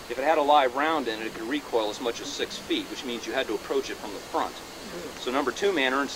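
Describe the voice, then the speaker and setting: The man rushes through his words at a very fast pace, noticeable background noise behind him. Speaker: reenactment narrator. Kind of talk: demonstration commentary to audience. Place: open country. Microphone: old recording.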